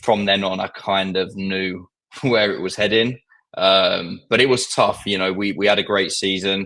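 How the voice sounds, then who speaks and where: Bright and sharp in tone, a man's fairly low voice comes through on a very clean recording with a silent background. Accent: strong southern English. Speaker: football fan guest. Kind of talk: casual chat.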